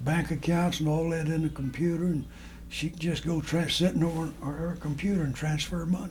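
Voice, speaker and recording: At a moderate pace, a man with a fairly high pitch speaks with fairly even intonation in a room with audible echo. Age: 80s+. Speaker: elderly man recording family memories. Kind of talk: casual personal monologue. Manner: halting, with many fillers and restarts.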